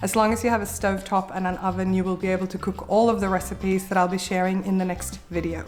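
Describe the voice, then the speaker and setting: A woman speaks at a medium pitch in a flat, monotone delivery, with noticeable background noise. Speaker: cooking and meal-planning YouTuber. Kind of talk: vlog-style tutorial.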